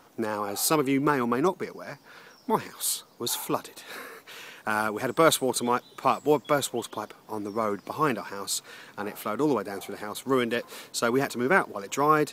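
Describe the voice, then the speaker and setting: A man at a very fast pace with ordinary pitch variation, dry sound with no echo and light background noise. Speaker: vlogger. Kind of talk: casual vlog chat. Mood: upbeat, reflective. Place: garden. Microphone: phone near.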